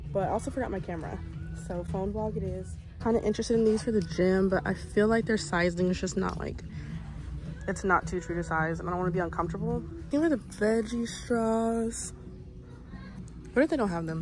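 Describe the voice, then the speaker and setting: Over music in the background, the fairly quick speech has long, frequent pauses in a dry sound with no echo. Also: woman. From Texas. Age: 20s. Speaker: vlogger. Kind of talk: casual vlog talk to camera. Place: shop. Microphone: phone near.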